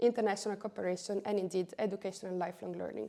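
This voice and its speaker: A woman with an Italian accent has a dark, mellow tone and fairly even intonation. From Italy. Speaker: education policy coordinator. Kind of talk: interview.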